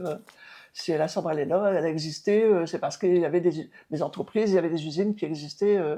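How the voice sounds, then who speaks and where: Talking at a very fast pace, a woman uses a fairly low pitch and a dark, mellow tone. Her intonation stays fairly even. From Rousies, northern France. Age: 70s. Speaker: mayor. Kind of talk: interview answer.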